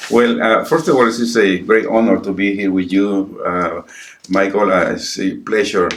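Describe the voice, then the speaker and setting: A man with a Spanish accent talks at a moderate pace and a fairly low pitch. His pitch varies in an ordinary way, and there is noticeable background noise. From El Salvador. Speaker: pastor. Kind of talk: interview. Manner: halting.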